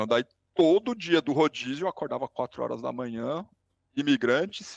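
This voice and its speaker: A man with an unremarkable speaking voice talks at a moderate pace, his pitch fairly high and his intonation lively. The sound is dry and close with no echo, over a quiet background. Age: 40s. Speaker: podcast guest. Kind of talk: casual interview chat.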